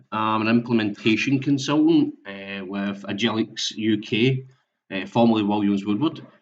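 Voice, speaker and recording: A man with a Scottish accent talks at a moderate pace. His pitch is medium, with ordinary variation. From Scotland. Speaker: software implementation consultant. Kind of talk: webinar presentation. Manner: halting, many fillers and repetitions.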